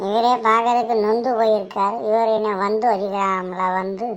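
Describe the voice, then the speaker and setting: A woman uses a cartoonish character voice with a fairly high pitch, monotone, flat intonation and a fairly slow pace. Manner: cheeky, teasing, talkative.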